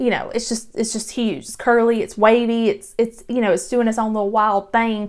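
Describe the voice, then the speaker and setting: A woman speaks with a Georgia accent. The recording is very clean, with a silent background. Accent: Southern (Georgia). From Georgia, US South. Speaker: real estate agent. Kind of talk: casual vlog talk to camera. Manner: chatty, casual with filler words.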